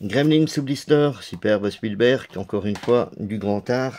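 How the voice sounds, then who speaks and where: Very slowly, a man talks in a medium pitch that shifts in an ordinary way. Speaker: DVD collector youtuber. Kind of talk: casual video presentation.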